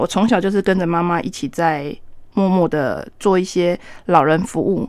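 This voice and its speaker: The recording is very clean, with a silent background. A woman speaks at a medium pitch with a Taiwanese accent. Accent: Taiwanese Mandarin. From Taiwan, Taitung. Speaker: nurse and volunteer firefighter paramedic. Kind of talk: radio interview.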